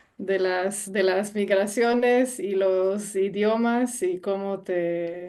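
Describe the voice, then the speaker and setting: A woman speaks very slowly with hardly any pauses and fairly even intonation. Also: medium pitch for a woman, very even loudness. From Israel, from age five (born Romania). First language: Romanian, dominant Hebrew (speaking Spanish). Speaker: cultural platform organizer. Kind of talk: radio interview.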